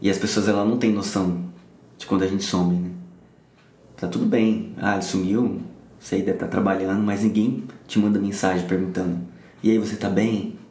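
A man's fairly low, flat monotone at a fairly quick pace, broken by long, frequent pauses, with audible room echo. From São Paulo, Brazil. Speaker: guest sharing anxiety story. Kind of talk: casual interview chat.

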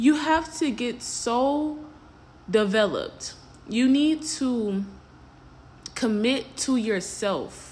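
At a very slow pace with long, frequent pauses, a high-pitched woman speaks with lively intonation as the room audibly echoes. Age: 20s. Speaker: podcast host. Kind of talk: casual monologue.

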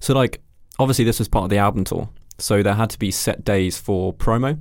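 With fairly even intonation, a man talks at a fairly quick pace in a very clean recording with a silent background. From London. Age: 20s. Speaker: videographer and photographer. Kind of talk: casual interview chat.

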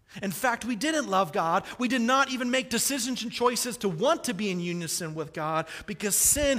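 A man with an American accent, high-pitched, his voice raised and projected, with lively intonation. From US Midwest, Kansas City. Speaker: pastor. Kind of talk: sermon.

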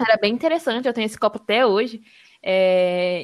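A woman speaks at a moderate pace in a normal speaking voice, her fairly high pitch showing ordinary variation, on a very clean recording with a silent background. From Brazil, Espírito Santo (Serra). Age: 20s. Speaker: environmental engineering student. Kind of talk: casual podcast conversation.

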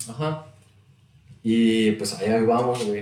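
A man is talking, and his voice carries audible echo from the room. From Saltillo, northern Mexico. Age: 20s. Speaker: podcaster and rap enthusiast. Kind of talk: casual chat.

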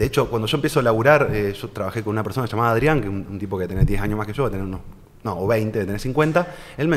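Very fast man's voice with lively intonation and a Rioplatense accent. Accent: Argentine Spanish (rioplatense, voseo). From Argentina, Santa Fe city. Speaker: financial advisor. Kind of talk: casual interview.

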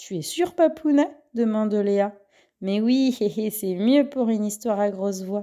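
The clip features an unforced reading voice.

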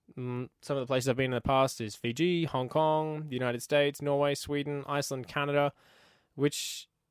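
Talking at a very fast pace with an Australian accent, a man is heard on a very clean recording against a silent background. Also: dry, close sound with no echo. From Queensland, Australia. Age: 20s. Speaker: podcast host. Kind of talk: casual chat. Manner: upbeat, friendly.

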